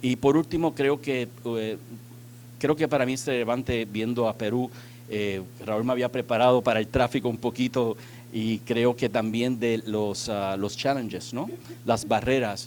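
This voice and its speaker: Here a man speaks at medium pitch. His pace is fairly slow and his intonation fairly even. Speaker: transport technology executive. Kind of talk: conference panel talk. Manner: halting, many fillers.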